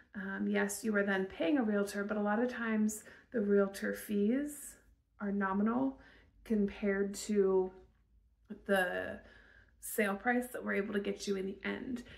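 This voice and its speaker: Against a quiet background, a woman talks at a fairly slow pace with fairly even intonation and long, frequent pauses. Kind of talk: promotional talk to camera. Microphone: phone near.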